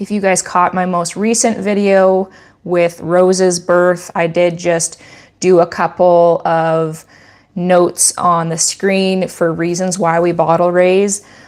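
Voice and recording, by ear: A woman speaks slowly in a clear, smooth, slightly mellow tone. Her pitch is fairly low and moves very little.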